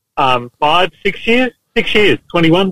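The man's intonation is lively. He talks with an Australian accent. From Queensland, Australia. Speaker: police officer. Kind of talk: casual chat.

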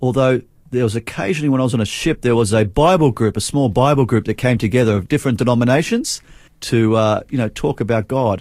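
A man with an Australian accent at medium pitch, with ordinary pitch variation, on a very clean recording with a silent background. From Australia, Adelaide. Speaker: revival speaker and prayer director. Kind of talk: faith testimony interview.

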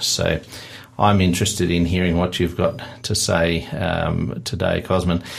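A man with an Australian accent, fairly low in pitch, at a fairly slow pace amid noticeable background noise. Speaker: radio host. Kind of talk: radio interview. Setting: studio.

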